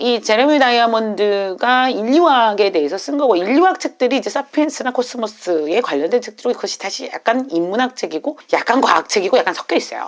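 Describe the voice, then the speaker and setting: A woman speaks at a fairly high pitch with very wide pitch swings and hardly any pauses. Noticeable background noise runs underneath. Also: fairly quick pace. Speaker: reading and classics teacher. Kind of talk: unscripted talk to camera. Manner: fast; casual, unscripted.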